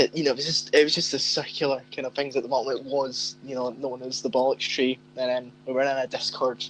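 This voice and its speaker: Someone with a Scottish accent speaks at a fairly quick pace. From Scotland, Glasgow. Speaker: podcast co-host. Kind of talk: casual chat.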